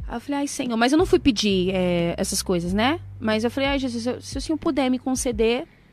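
A woman with an unremarkable speaking voice and a fairly high pitch. Her intonation is lively, and she hardly pauses at all. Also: fairly quick pace. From São Paulo, Brazil. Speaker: gospel singer. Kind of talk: casual chat.

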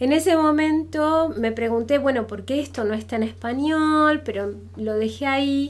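She speaks at a fairly slow pace. The woman has an Argentine accent. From Argentina. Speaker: university professor. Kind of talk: casual interview.

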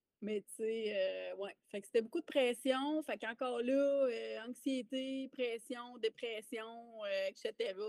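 Using fairly even intonation, a woman speaks at a very slow pace and a fairly high pitch. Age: 30s. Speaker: army veteran and mindset coach. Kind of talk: casual interview chat.

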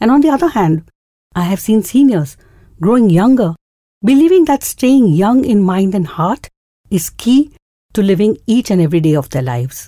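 A woman with a dark, mellow tone and a medium pitch talks at a moderate pace, her pitch swinging very widely and her speech broken by long, frequent pauses. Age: 60s. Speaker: podcast host. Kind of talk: monologue.

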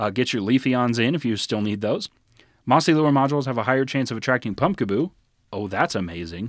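Over a silent background in a very clean recording, a man talks at a fairly quick pace and a medium pitch. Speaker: podcast co-host. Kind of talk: casual chat. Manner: not fast-talking, moderate pace.

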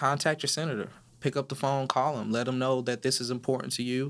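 An ordinary speaking voice, a man at medium pitch with an American accent, fairly even intonation and a fairly quick pace. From California, Inland Empire. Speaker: police officer and advocate. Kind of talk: interview.

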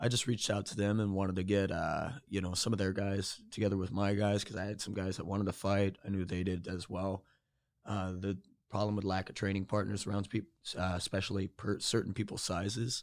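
A man's fairly low voice in an American accent, fairly quick and monotone, flat in intonation, over a very clean recording with a silent background. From Georgia, US South. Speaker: MMA fighter and coach. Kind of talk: casual chat.

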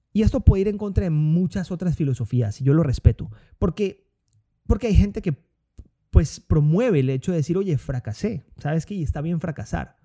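The dark, mellow voice moves at a moderate pace with very wide pitch swings, recorded dry and close with no echo. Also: man, fairly high pitch for a man. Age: 30s. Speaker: podcast host, entrepreneur. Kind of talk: motivational monologue. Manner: hesitant with filler words and repetitions.

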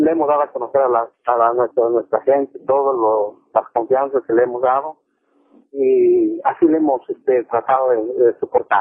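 A man with a medium pitch keeps his intonation fairly even, talking neither fast nor slow. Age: 40s. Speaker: coffee farmer. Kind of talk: interview. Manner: halting.

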